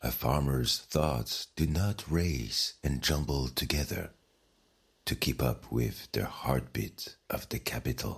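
A man speaks at a very slow pace with a very deep, low pitch, vocal fry and a soothing, calm tone. His loudness stays very even while his pitch varies in an ordinary way. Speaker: bedtime story narrator. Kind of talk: bedtime story, guided sleep meditation with scripted narration. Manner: soft, slow, soothing, calm and hushed; gentle, warm, dreamy storytelling.

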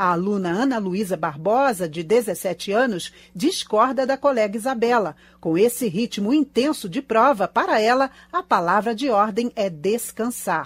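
A woman with an unremarkable speaking voice and fairly high pitch talks at a fairly slow pace with lively intonation. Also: dry sound with no echo. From Brazil. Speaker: radio reporter. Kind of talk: news reading. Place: studio.

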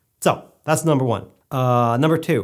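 A man is speaking. The background is quiet. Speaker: filmmaking vlogger. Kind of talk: casual solo video Q&A. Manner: fast talker, rambling; informal, humorous. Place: studio.

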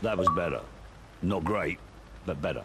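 A man talks at a fairly quick clip, and noticeable noise runs in the background. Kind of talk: drill instructor barking orders in a scripted game scene. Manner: gruff and sarcastic when berating the recruit.

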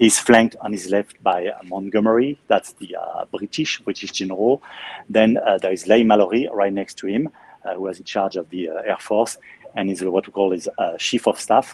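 A man with a French accent and a fairly low pitch speaks at a moderate pace, the sound dry with no echo. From Normandy, France (Caen); Normandy, France. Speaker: museum guide. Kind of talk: guided tour. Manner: talkative. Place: hall. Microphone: phone near.

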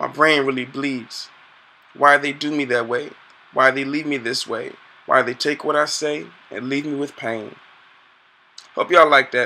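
A man's fairly high voice at a moderate pace, with fairly even intonation and long, frequent pauses. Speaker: poet. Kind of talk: spoken word poem. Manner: rhythmic, pleading, emotional delivery. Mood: hurt, plaintive. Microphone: webcam.

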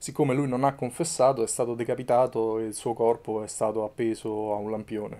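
Speaking with a Roman accent, a man keeps a fairly quick pace, a dark, mellow tone and fairly even intonation. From Rome, Italy; Italy. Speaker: photojournalist and documentary maker; photojournalist recounting his reporting. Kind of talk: interview. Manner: halting, with fillers. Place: home room.

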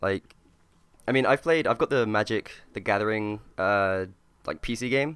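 Pausing long and often, a man talks at a moderate pace with a fairly low pitch and ordinary pitch variation, in a dry, close sound with no echo. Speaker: guest podcaster. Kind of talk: casual chat.

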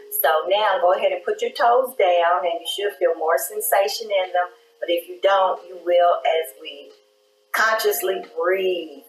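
Amid light background noise and audible room echo, a woman with a warm tone speaks at a fairly slow pace with big swings in loudness. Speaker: yoga instructor and wellness show host; meditation guide. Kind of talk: guided breathing meditation in a chair yoga class, cueing inhales and exhales; guided exercise instruction. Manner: gentle, unhurried run-on cues with soft laughs, gliding between instructions; warm, encouraging and faith-tinged, closing with a prayerful blessing. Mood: calm, soothing guidance. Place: studio.

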